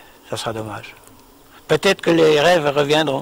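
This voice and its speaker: A man speaks over noticeable background noise. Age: 70s. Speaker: retired farmer and microlight pilot. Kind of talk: personal testimony. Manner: halting, many hesitations.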